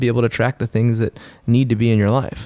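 Speaking at a fairly quick pace with an American accent, a man has a normal speaking voice at medium pitch. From Texas, Houston. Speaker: athlete and fitness coach. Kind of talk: casual interview. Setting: studio.

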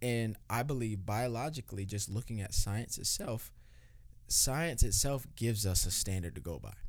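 A man with a normal speaking voice speaks at a moderate pace and medium pitch, with ordinary pitch variation and big swings in loudness. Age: 20s. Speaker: pastor and podcast co-host. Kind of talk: casual chat. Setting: studio.

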